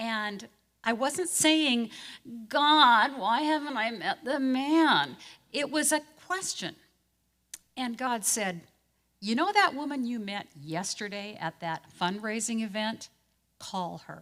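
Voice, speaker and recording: Bright and sharp in tone, this voice moves through very wide pitch swings at a very slow pace, broken by long, frequent pauses. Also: woman, fairly high pitch for a woman. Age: 60s. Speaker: pastor. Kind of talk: talk to a church group.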